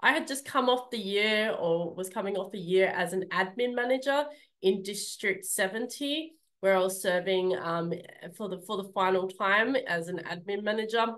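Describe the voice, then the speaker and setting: A woman at medium pitch with an Australian accent, at a moderate pace, with ordinary pitch variation. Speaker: public speaking club leader; speaker. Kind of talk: speech. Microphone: video call.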